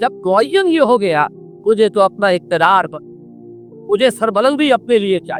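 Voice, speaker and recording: The sound of a man's voice is dry and close with no echo, with music playing in the background. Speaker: Islamic scholar. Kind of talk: religious lecture.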